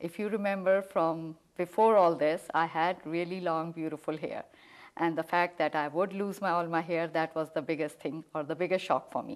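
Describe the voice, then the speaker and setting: A woman speaks with an Indian accent at a fairly low pitch and a moderate pace. Her intonation is fairly even, and the background is quiet. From India, New Delhi. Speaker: cancer survivor, homemaker. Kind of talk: interview.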